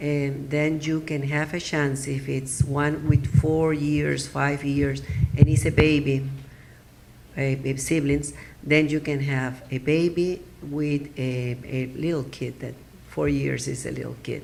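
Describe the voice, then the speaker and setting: In a room with audible echo, a woman with a Spanish accent and a very deep, low pitch speaks at a very slow pace with monotone, flat intonation. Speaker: adoption attorney. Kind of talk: conference presentation. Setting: symposium audience. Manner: halting, with many fillers.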